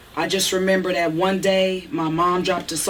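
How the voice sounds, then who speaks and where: Intonation stays monotone and flat in this voice with an American accent. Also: woman. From Eugene, Oregon, US. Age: 40s. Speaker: interviewee. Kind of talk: interview.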